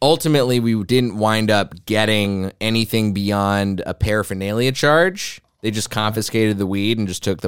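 Recorded very cleanly against a silent background, a man with an American accent uses a normal speaking voice at a fairly low pitch with ordinary pitch variation. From US South, Texas. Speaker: comedian. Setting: studio.

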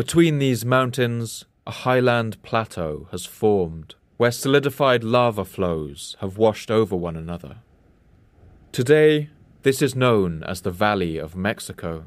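In an ordinary speaking voice, a man talks fairly slowly at a medium pitch with lively intonation, in a very clean recording with a silent background. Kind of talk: nature documentary narration. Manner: measured, even-paced, formal narrator delivery; authoritative, sweeping, reverent tone.

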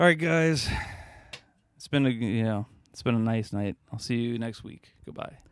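A man speaks at a moderate pace with a medium pitch and lively intonation. His loudness swings widely, and he leaves long, frequent pauses. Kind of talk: casual banter comedy podcast.

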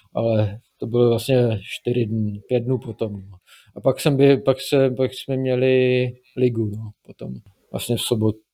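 A man's dark, mellow tone, fairly slow and monotone with flat intonation. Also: medium pitch for a man. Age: 30s. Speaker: marathon runner and programmer. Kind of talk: interview. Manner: halting, many fillers.

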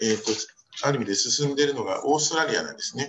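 A man's fairly high-pitched voice comes through over noticeable background noise. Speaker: reproductive medicine physician. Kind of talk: journal club paper presentation. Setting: video call.

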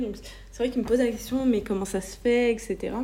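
The voice is dark and mellow in tone. It belongs to a woman and sits fairly high in pitch. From France. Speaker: podcaster. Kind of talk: personal monologue. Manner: hesitant, searching for words; conversational, laughing at times.

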